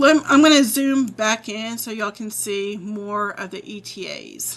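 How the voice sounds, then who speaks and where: An unremarkable speaking voice from a woman with an American accent, fairly high in pitch, with ordinary pitch variation. She goes at a fairly slow pace, and her loudness swings widely. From southern Illinois (Murphysboro). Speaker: weather streamer. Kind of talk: live weather commentary.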